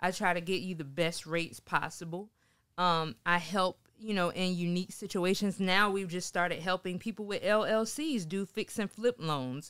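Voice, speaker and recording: A woman with a South Carolina accent, medium in pitch with ordinary variation, at a moderate pace against a quiet background. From Sumter, South Carolina. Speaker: mortgage lender and photographer; guest. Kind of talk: interview. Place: studio. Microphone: studio mic.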